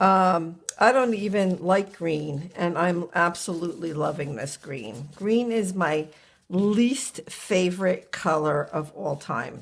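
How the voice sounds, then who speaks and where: A woman's voice sits fairly low in pitch, with lively intonation. She speaks at a very slow pace. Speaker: mixed media crafter. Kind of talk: casual crafting tutorial talk to camera.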